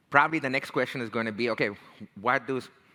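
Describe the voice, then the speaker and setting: On a very clean recording with a silent background, a man with an Indian American accent speaks in a bright, sharp tone with ordinary pitch variation. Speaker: tech career strategist and leadership coach. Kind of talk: talk. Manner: casual, conversational.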